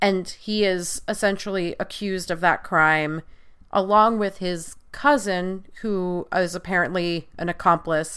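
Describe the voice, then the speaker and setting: A woman has a plain, everyday voice at a medium pitch. She speaks fairly slowly on a very clean recording with a silent background. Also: fairly even intonation. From US Northeast (Long Island, New York). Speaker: podcast host, producer and media critic. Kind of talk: casual chat.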